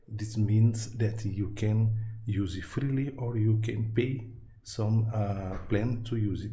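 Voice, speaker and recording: Audible room echo surrounds a man speaking very slowly in a Brazilian Portuguese accent. His medium-pitched voice is dark, mellow and somewhat breathy, with a monotone, flat intonation. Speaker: tech YouTuber and programmer. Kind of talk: tutorial. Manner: halting, many fillers.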